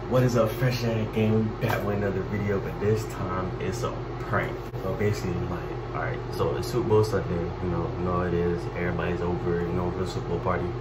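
With loud noise in the background, a man speaks at a fairly quick pace. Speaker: prank vlogger. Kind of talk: casual vlog chat. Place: bathroom. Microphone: phone near.

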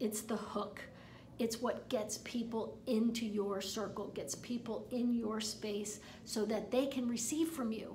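Fairly slow, fairly even speech amid noticeable background noise and audible room echo. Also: woman, fairly high pitch for a woman. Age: 50s. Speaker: online marketing coach. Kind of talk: tutorial. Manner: halting, repeats words.

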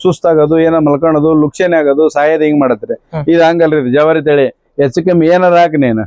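In a dry, close recording with no echo, a man with a fairly high pitch and a dark, mellow tone speaks with fairly even intonation and very even loudness. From Koppal district, North Karnataka. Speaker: farmer. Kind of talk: interview.

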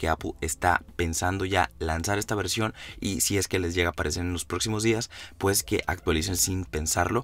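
Music plays in the background. A man speaks with a very deep, low pitch. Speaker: tech YouTuber. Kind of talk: tutorial.

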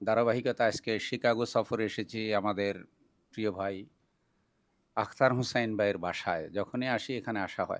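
A man speaks in a plain, everyday voice, fairly low in pitch with fairly even intonation, on a very clean recording with a silent background. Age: 50s. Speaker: Islamic preacher. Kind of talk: casual video introduction. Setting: at a private home.

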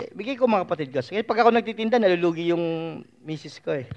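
The man speaks at a fairly quick pace in an animated tone against a quiet background. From Philippines. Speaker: preacher. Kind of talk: sermon. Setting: church. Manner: animated, conversational preaching with frequent 'no?' tag questions. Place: hall.

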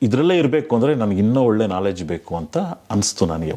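The man's tone is dark and mellow. His pitch moves across a very wide range. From Bengaluru, Karnataka, India. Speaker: filmmaker. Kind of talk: interview.

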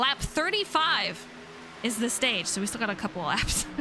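A woman sounds animated and upbeat, speaking at a high pitch. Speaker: race commentator. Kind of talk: live race commentary. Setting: online livestream broadcast. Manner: animated, upbeat play-by-play.

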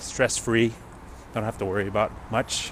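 Noticeable background noise sits behind a man whose voice sounds dry, with no echo. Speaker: vlogger. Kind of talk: casual vlog chat. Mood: relaxed, upbeat. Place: street. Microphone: earbuds.

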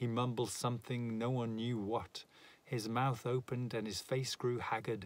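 Reading in an unforced voice

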